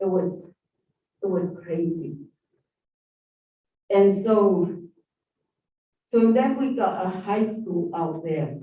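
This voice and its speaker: Speaking at a very slow pace in an American accent, the voice leaves long, frequent pauses. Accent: Navajo English. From southeastern Utah, Navajo Nation area. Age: 60s. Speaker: public commenter. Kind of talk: public hearing testimony. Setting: public hearing room.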